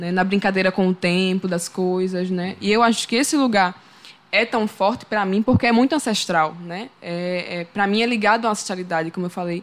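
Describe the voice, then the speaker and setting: A woman with a medium-pitched voice and ordinary pitch variation speaks at a moderate pace. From Sergipe, Brazil (Lagarto, countryside). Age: 20s. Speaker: singer-songwriter. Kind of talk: interview conversation.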